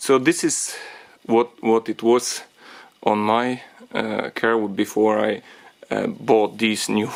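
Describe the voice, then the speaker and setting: A man talks at medium pitch with a non-native accent. His intonation is monotone and flat. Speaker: DIY car repair tutor. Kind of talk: tutorial talk to camera. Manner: hesitant, many fillers.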